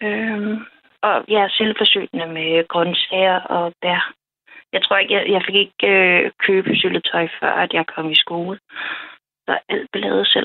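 A woman with a medium pitch speaks very slowly, her intonation fairly even. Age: 30s. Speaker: early retiree with PTSD, dream guest. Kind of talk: personal testimony in interview. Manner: halting, many fillers.

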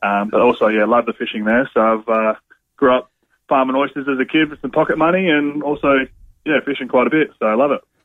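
A man at a very fast pace, medium in pitch, with an Australian accent. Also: ordinary pitch variation. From South Australia, Eyre Peninsula. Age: 30s. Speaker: footballer. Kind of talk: casual chat.

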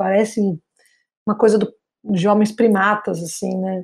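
At a moderate pace, a woman speaks in a medium pitch with a flat, monotone delivery. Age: 40s. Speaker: entrepreneur teaching technology to seniors. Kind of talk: interview.

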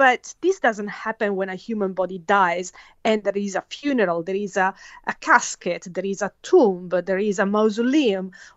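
Speaking with an Italian accent, a woman keeps her intonation fairly even. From Italy. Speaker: forensic scientist. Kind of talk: interview. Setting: phone call. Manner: halting.

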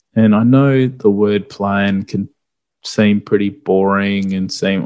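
On a very clean recording with a silent background, a man with a fairly low voice and an Australian accent speaks fairly slowly with fairly even intonation. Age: 30s. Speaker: property investment podcast host. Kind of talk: solo podcast explainer.

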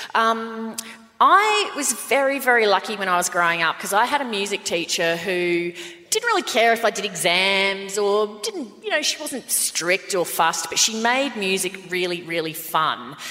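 With an Australian accent, a woman speaks at a medium pitch and a moderate pace, her intonation lively. Noticeable background noise runs underneath. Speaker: podcast co-host. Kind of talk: live podcast recording, casual banter. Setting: stage with audience.

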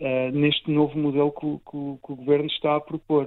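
This man talks at a moderate pace. His pitch is fairly high. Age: 30s. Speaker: cardiac surgeon. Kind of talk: interview. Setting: hospital. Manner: halting.

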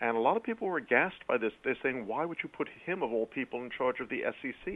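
A man with an American accent talks fairly quickly at a medium pitch. His intonation is lively. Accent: American with a slight British tinge. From US Northeast, New York City. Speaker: author. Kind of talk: radio interview.

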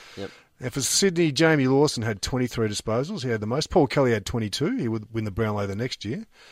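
With an Australian accent, a man of medium pitch speaks at a moderate pace with lively intonation. The recording is very clean, with a silent background. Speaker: podcast co-host. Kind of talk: casual chat. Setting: studio.

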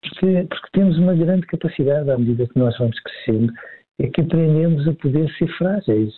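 In a European Portuguese accent, a man speaks at a fairly high pitch with ordinary pitch variation. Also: fairly quick pace. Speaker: psychologist. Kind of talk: expert commentary in casual chat. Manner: hesitant, repeats words.

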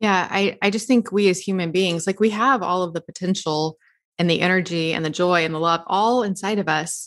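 In a very clean recording with a silent background, a woman with an American accent and an unremarkable speaking voice talks at a fairly quick pace and medium pitch with ordinary pitch variation. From US South. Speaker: podcast host and diet author. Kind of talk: casual interview.

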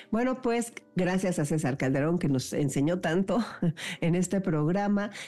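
At a fairly slow pace, a woman speaks in a normal speaking voice with a fairly low pitch. Her intonation is lively and her loudness very even. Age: 60s. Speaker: radio host. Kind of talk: radio interview.

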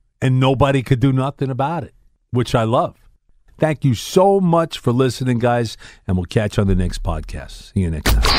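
With a Brooklyn accent, a man talks at a medium pitch in an animated tone with lively intonation. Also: moderate pace. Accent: New York (Brooklyn). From Brooklyn, New York (Bensonhurst). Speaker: radio host. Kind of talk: casual chat.

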